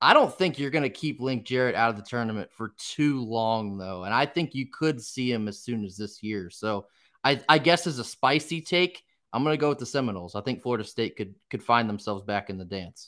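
A man in a plain, everyday voice speaks at a fairly quick pace with medium pitch and lively intonation against a quiet background. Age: 20s. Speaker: college baseball commentator. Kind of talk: casual chat.

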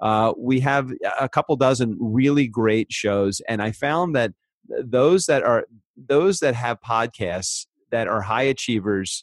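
A man with a normal speaking voice and ordinary pitch variation, at a fairly slow pace, in a dry, close sound with no echo. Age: 50s. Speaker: podcast producer and former mobile DJ. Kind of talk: interview.

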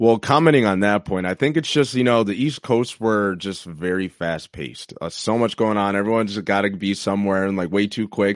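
Over a quiet background, a man with an American accent uses a normal speaking voice, fairly low in pitch, at a moderate pace with ordinary pitch variation. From New York. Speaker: former college football running back. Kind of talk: casual interview chat.

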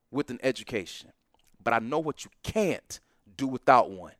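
Heard on a very clean recording with a silent background and a dry, close sound with no echo, a man with an American accent speaks at a moderate pace in an animated tone with very wide pitch swings. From Atlanta, US South. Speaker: professor. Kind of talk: casual interview.

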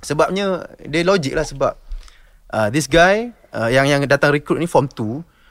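A man speaks fairly slowly, his intonation lively. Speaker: basketball podcaster and player. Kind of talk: casual chat.

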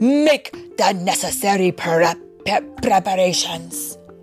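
A woman does a put-on character voice at a medium pitch and a fairly slow pace. Clear music plays in the background. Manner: commanding, stammering.

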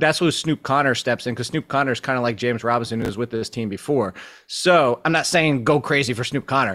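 A man at a medium pitch and a very fast pace, with ordinary pitch variation. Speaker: fantasy football analyst. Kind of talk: casual chat.

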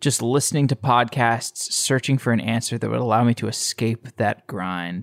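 An ordinary speaking voice with an American accent, moderate in pace with hardly any pauses, fairly even in intonation, dry and close with no echo, on a very clean recording with a silent background. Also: man, medium pitch for a man. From Texas, Austin. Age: 30s. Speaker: podcast host. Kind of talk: casual interview.

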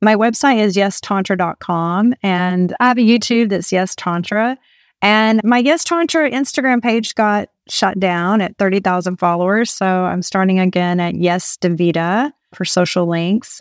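In a very clean recording with a silent background and a dry, close sound with no echo, a woman speaks in a normal speaking voice at a medium pitch, with very even loudness, a moderate pace and ordinary pitch variation. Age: 50s. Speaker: tantra coach and registered nurse. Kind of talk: casual chat. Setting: in person, at a home.

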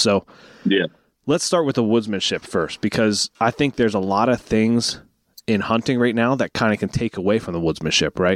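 A man in an ordinary speaking voice, fairly low in pitch and fairly quick, with a dry, close sound and no echo. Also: very clean recording, silent background. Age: 20s. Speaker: podcast host. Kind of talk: casual chat.

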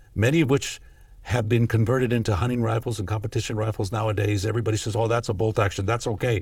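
A man speaks very fast with an American accent, his voice somewhat breathy. The recording is very clean, with a silent background. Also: medium pitch for a man, fairly even intonation. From US West Coast, East Los Angeles. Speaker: gun rights advocacy executive. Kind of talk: casual interview over whiskey.

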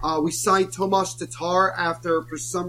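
Against noticeable background noise, a man with an American accent speaks fairly quickly in a high pitch with lively intonation. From New Jersey. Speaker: hockey podcast host and author. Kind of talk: casual chat.

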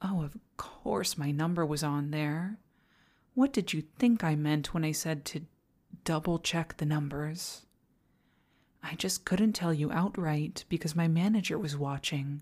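A woman's very deep, low voice in an animated tone at a fairly slow pace, very cleanly recorded against a silent background. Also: ordinary pitch variation. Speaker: ASMR roleplay performer. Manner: animated, swinging from sweet and giggly to snarling, swearing outbursts, then manic glee.

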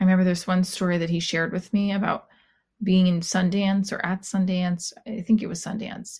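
Somewhat breathy, monotone delivery with flat intonation over a quiet background. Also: woman, medium pitch for a woman. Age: 40s. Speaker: podcast host and comedian. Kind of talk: personal monologue; stand-up. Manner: halting.

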